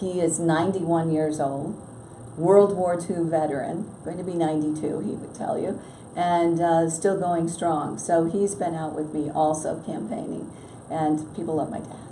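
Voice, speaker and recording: Amid noticeable background noise and audible room echo, a woman with an American accent speaks at a fairly low pitch with fairly even intonation. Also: moderate pace. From western New York (Batavia). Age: 60s. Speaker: congressional candidate. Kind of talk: interview. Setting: newspaper office.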